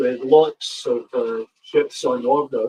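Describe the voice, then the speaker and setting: At a very slow pace, a man talks in a dry, close sound with no echo. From Scotland, Glasgow (Partick). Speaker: model railway YouTuber. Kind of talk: casual live stream chat. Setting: live stream. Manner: hesitant, many fillers.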